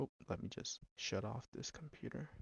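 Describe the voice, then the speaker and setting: A man mumbling. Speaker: gaming video creator. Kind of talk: gameplay commentary. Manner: halting.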